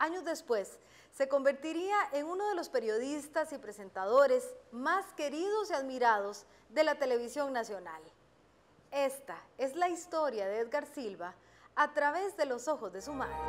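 A woman's high-pitched voice with very wide pitch swings at a fairly slow pace. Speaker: journalist interviewer. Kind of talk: TV documentary narration. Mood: warm, gentle. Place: garden.

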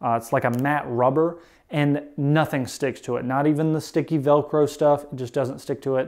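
Ordinary pitch variation from a male speaker, the background quiet. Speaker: motovlogger. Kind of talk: tutorial. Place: garage.

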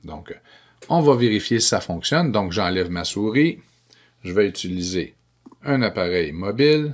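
A man speaks at a fairly slow pace with long, frequent pauses and very wide pitch swings against a quiet background. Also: fairly low pitch for a man. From Quebec. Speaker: educational technology trainer for teachers. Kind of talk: screencast tutorial.

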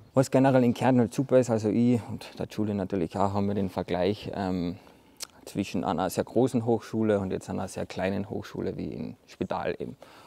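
With an unremarkable speaking voice, a man talks at a fairly quick pace and a fairly low pitch, his pitch varying in an ordinary way in a dry sound with no echo. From Carinthia, Austria. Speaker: architect. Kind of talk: casual interview chat. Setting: outdoors in front of a hall. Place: hall.

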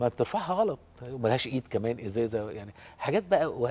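Over light background noise, a man speaks at a fairly quick pace. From Egypt. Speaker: professor of interventional pain medicine. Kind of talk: casual TV interview. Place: studio. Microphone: lapel.

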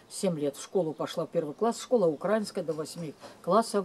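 Her voice is fairly low with a dark, mellow tone and ordinary pitch variation. The woman speaks at a moderate pace over light background noise. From Ukraine. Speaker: vlogger telling family memories. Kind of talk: casual personal storytelling to camera. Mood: calm, reflective. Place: garden. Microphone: camera far.

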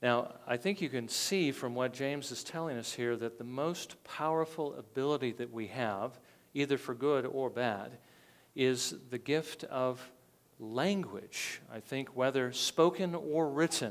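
A man's speech unfolds fairly slowly, his pitch varying in an ordinary way. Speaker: pastor. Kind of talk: sermon. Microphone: lapel.

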